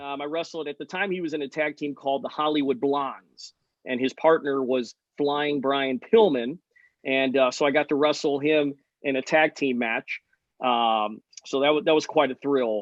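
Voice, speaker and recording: An unremarkable speaking voice, a man with an American accent talks at a fairly high pitch and a moderate pace with ordinary pitch variation. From United States. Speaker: ring announcer. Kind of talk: interview answer.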